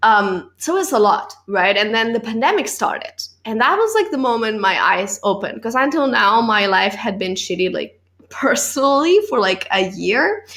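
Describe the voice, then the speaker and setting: This woman's voice sits fairly high and has a lively intonation. She talks at a moderate pace. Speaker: podcast host and actress. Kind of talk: casual interview chat.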